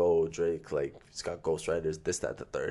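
A man with a Toronto accent against a quiet background. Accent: Toronto (Scarborough) urban Canadian English. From Toronto, Scarborough. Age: 20s. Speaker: rapper and spoken word artist. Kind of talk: casual chat.

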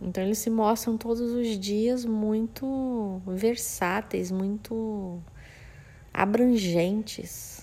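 A woman speaks at a very slow pace with a fairly high pitch. Her tone is dark and mellow. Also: fairly even intonation. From Brazil, Mato Grosso do Sul (Campo Grande). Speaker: floral therapist, essence maker. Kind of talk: monologue, personal story. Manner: halting, many repetitions.

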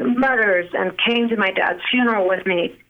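Here a woman has a normal speaking voice with ordinary pitch variation. Her pace is fairly slow. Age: 40s. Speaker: singer, songwriter and author. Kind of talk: casual chat.

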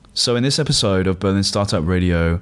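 A man speaks at a very deep, low pitch and a fairly quick pace. The background is quiet. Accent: British. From UK. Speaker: podcast host. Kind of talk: interview.

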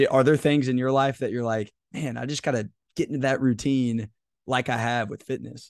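Against a quiet background, a man talks at a moderate pace in a plain, everyday voice. His pitch is medium, with fairly even intonation. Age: 20s. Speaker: leadership podcast host. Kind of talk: casual interview conversation.

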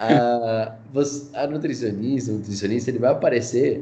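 Audible room echo around a medium-pitched male voice, delivered at a fairly slow pace. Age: 20s. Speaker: digital marketing specialist. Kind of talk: casual interview.

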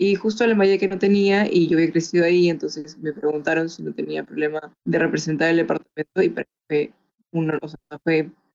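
With an unremarkable speaking voice, a woman talks at a fairly quick pace, her fairly low pitch carrying fairly even intonation. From Peru, Chiclayo. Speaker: film art producer and beauty queen. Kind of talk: interview.

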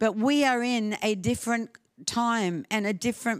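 In a very clean recording with a silent background, a woman with an Australian accent talks at a fairly slow pace in a fairly high voice. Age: 70s. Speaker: guest preacher. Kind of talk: sermon. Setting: church with audience.

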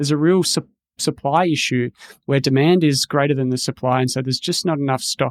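A man with an Australian accent, a fairly high pitch, ordinary pitch variation and a very fast pace, on a very clean recording with a silent background. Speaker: social researcher. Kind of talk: interview.

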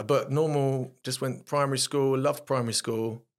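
A man with a South London accent at a fairly quick pace, on a very clean recording with a silent background. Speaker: actor. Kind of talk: casual interview chat.

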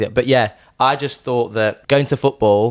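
A voice with a Yorkshire accent uses fairly even intonation on a very clean recording with a silent background. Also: man. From Sheffield, Yorkshire. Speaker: artist.

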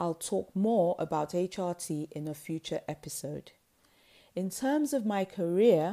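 A woman's dark, mellow voice, fairly low in pitch with ordinary pitch variation, on a very clean recording with a silent background. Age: 50s. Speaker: podcast host and wellness coach. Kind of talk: scripted monologue.

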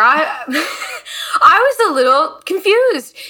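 Bright, sharp tone from a raised, projected voice. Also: woman. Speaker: podcast co-host and flutist. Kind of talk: casual interview conversation.

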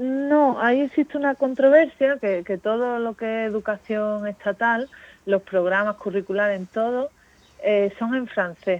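In a normal speaking voice, a woman talks at a fairly slow pace and a fairly high pitch with ordinary pitch variation, in a dry, close sound with no echo. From Spain, Málaga. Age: young. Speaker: aid worker at a children's home. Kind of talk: interview.

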